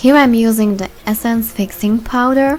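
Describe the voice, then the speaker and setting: A woman speaks with fairly even intonation. Background noise is noticeable. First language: German. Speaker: beauty vlogger. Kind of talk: tutorial.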